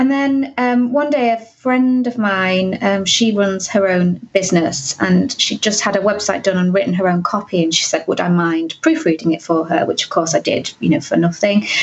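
A woman speaks at a moderate pace in a medium pitch, with lively intonation and very even loudness over noticeable background noise. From northern England (Cumbria). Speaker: content marketing business owner. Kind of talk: interview.

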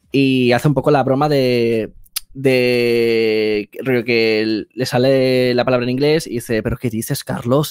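A man speaks in a monotone, flat intonation. His pace is very slow. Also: quiet background, dry sound with no echo. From Spain. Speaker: video editor and filmmaker; guest. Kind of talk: interview conversation. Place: home room. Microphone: headset.

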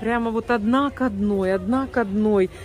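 Light background noise sits under a woman's fairly high voice with ordinary pitch variation. The sound is dry, with no echo. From Siberia, Russia. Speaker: vlogger, home cook, Russian immigrant in US. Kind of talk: casual vlog, cooking and shopping. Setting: kitchen and store, recorded on the go. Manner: animated, chatty. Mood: delighted, admiring. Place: shop. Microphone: phone near.

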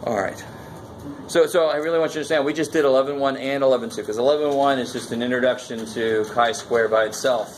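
Light background noise behind a man's fairly high voice, ordinary pitch variation, and a moderate pace. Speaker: college math instructor. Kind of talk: classroom lecture. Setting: classroom with students. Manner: conversational, interactive, informal. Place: classroom.

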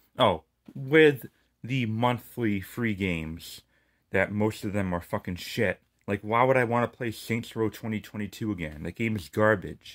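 A man's furious tone at a fairly low pitch, fairly slow pace and ordinary pitch variation, against a quiet background. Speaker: gaming YouTuber. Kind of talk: angry rant about a subscription price hike, swearing and fed up. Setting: solo video, speaking to viewers. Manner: furious, sarcastic, emphatic, venting with repeated swearing; stumbling and repeating words as he rants. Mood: annoyed, ranting. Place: home room. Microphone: phone near.

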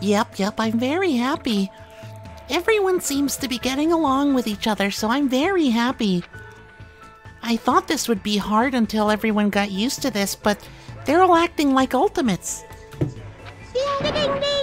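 A put-on character voice, female-sounding and high in pitch, at a moderate pace with clear music in the background. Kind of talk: cute mascot voice. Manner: bubbly, sweet, upbeat.

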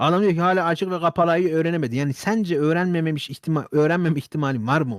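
Animated and fairly high-pitched, a man speaks at a fairly quick pace in a very clean recording with a silent background. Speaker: YouTuber / streamer. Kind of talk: casual monologue to camera. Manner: very fast.

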